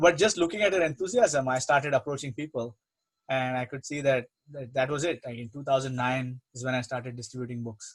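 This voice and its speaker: The speaker has an Indian accent and a somewhat breathy voice. The pace is fairly quick. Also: man, medium pitch for a man, ordinary pitch variation, big swings in loudness. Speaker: spiritual teacher. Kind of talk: religious talk, Q&A. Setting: online program.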